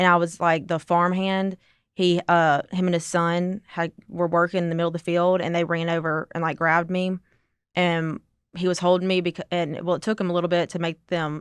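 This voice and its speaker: A woman's fairly low voice, monotone and flat, at a fairly quick pace. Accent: Southern. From Mississippi. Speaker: accident survivor, amputee. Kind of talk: interview testimony. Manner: casual, halting.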